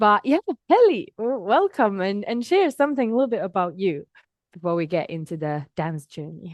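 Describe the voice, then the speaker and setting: A woman at medium pitch with a Finnish accent, very wide pitch swings, a moderate pace, and a dry, close sound with no echo. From Finland. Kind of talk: interview conversation.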